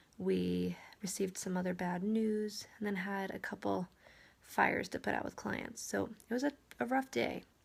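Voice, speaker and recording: At a moderate pace, a soft-spoken woman talks. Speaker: real estate agent. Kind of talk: casual vlog monologue.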